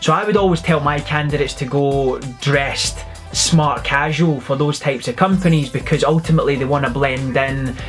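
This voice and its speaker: Clear music plays in the background as a man with a fairly high voice speaks at a fairly quick pace with fairly even intonation. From Scotland (Glasgow). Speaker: recruiter and vlogger. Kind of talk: casual talk to camera, advice vlog. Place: office. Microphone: phone near.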